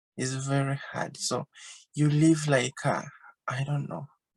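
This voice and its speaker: A woman speaks in a very deep, low pitch with a dark, mellow, somewhat breathy tone. Her monotone, flat delivery comes at a fairly slow pace in a dry, close sound with no echo. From Uganda. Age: 20s. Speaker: refugee sharing her experience. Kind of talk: interview testimony. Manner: halting, simple phrasing.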